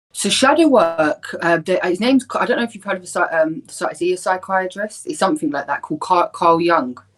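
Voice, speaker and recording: This woman speaks in a London accent at a medium pitch, swinging very widely in pitch and greatly in loudness. Her pace is fairly quick, with hardly any pauses. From North London, Islington. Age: 30s. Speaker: spiritual practitioner. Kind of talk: podcast interview.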